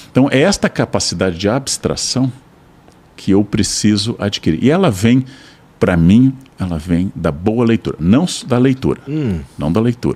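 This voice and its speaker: A man's voice carries a dark, mellow tone. It moves through very wide pitch swings. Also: medium pitch for a man, moderate pace. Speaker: philosopher and professor. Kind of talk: podcast interview answer.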